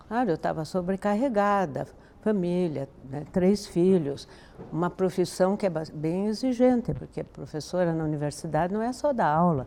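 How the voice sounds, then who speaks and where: A woman's fairly low, dark, mellow voice with lively intonation at a moderate pace. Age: 80s+. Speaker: yoga student, retired university professor. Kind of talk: testimonial interview. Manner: halting, with restarts and fillers.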